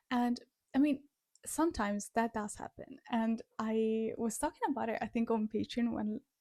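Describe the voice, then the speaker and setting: A woman's fairly high, somewhat breathy voice with a dark, mellow tone and fairly even intonation, dry and close with no echo. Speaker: music reaction youtuber and singer. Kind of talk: casual reaction commentary.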